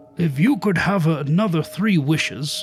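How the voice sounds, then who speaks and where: With music in the background, a man uses a put-on character voice pitched high, with ordinary pitch variation. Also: moderate pace. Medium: read story.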